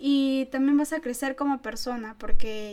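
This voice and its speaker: A woman is speaking. Her pace is moderate. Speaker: podcast co-host, student. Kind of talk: casual chat.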